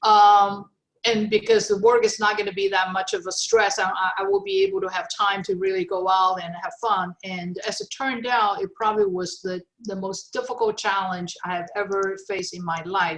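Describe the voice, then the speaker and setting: The speaker has a Chinese accent and a moderate pace. The intonation stays flat and monotone. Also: woman, medium pitch for a woman. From China. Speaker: retired technology executive. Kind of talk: interview. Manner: halting, many fillers.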